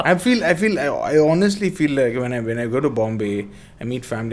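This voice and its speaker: A man with a South Indian accent talks at a very fast pace. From Bangalore, South India. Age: 30s. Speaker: skateboarder and skate-park builder. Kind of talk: casual chat.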